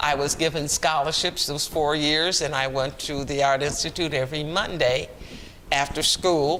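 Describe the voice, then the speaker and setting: With an American accent, a man speaks at a moderate pace in a fairly high pitch and a monotone, flat intonation over noticeable background noise. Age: 80s+. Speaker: oral history interviewee. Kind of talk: oral history interview.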